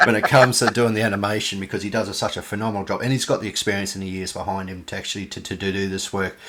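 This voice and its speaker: A man with an Australian accent, fairly low in pitch, with fairly even intonation. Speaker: podcast host. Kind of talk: interview. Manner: casual, halting.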